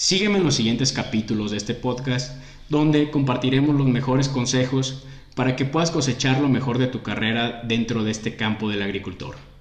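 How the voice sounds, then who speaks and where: This voice moves at a fairly quick pace with ordinary pitch variation, against noticeable background noise. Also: man, medium pitch for a man. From Mexico. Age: 20s. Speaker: agronomist podcast host. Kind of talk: scripted podcast intro.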